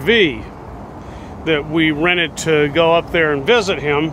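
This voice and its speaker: Against noticeable background noise, a high-pitched man speaks at a fairly slow pace with fairly even intonation, the sound dry with no echo. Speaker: recreational cyclist vlogger. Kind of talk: casual vlog chat. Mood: relaxed, chatty. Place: waterside. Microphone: phone near.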